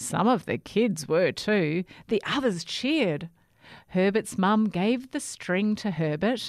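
A natural voice reading aloud

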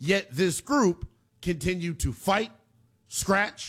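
A man's high-pitched voice, slow pace and lively intonation. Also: fairly bright tone.

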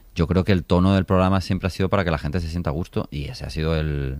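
A man speaks at a fast pace in a low pitch, his slightly mellow tone showing little pitch movement.

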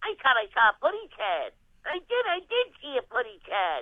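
High in pitch, this put-on character voice moves at a moderate pace.

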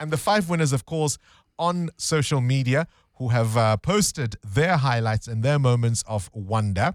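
A man speaks at a medium pitch and a fairly slow pace, with lively intonation. The sound is dry and close, with no echo.

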